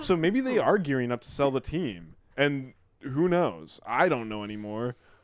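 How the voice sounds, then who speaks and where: Over a quiet background, a man uses an ordinary speaking voice with lively intonation at a moderate pace. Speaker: podcast co-host. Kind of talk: casual chat.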